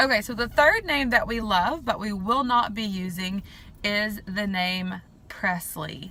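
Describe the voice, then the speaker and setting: With a strong Southern US accent, a woman speaks at a very slow pace in a medium pitch, her bright, sharp tone showing ordinary pitch variation. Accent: strong southern drawl. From US South. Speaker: vlogger. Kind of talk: casual vlog talk. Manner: casual with many fillers.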